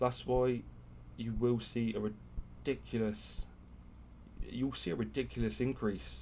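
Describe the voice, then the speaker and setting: Speaking with a British accent, a man talks at a fairly slow pace with long, frequent pauses. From UK. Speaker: crypto YouTuber and stake pool operator. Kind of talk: live stream chat. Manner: animated.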